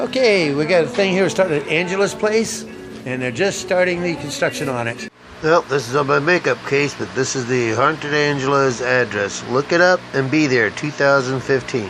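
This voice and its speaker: Music plays in the background as a man speaks. His fairly high voice has lively intonation. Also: moderate pace. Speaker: hiking vlogger. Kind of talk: casual vlog walkthrough.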